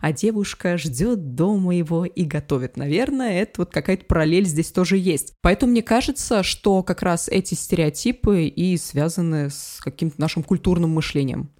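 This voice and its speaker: Barely pausing, a woman speaks at a moderate pace in a fairly low pitch. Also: lively intonation. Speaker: public speaking coach. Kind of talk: interview. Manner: loud, not soft or gentle.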